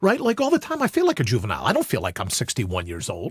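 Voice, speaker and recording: The recording of this man is very clean, with a silent background and a dry, close sound free of echo. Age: 60s. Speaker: suicide prevention advocate. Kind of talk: interview conversation. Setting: studio.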